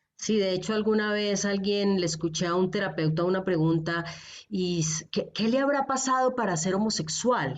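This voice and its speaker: A woman at medium pitch speaks at a moderate pace with lively intonation and very even loudness, over noticeable background noise. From Colombia. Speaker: theologian. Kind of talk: podcast interview answer.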